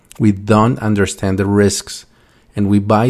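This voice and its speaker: With a fairly low pitch, a man talks at a moderate pace. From Colombia, Bogota. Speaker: podcast host. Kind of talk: monologue talk.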